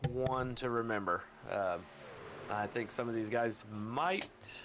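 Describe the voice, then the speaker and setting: Music plays in the background as a man with a medium pitch talks at a fairly slow pace, his loudness very even. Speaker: sim racing commentator. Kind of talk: live commentary.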